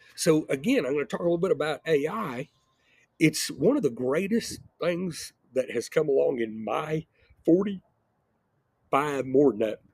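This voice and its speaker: A man's fairly high voice with lively intonation, a moderate pace, long, frequent pauses, and a dry, close sound with no echo. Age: 60s. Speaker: entrepreneur and video blogger. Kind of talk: casual monologue. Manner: rambling, repeats words.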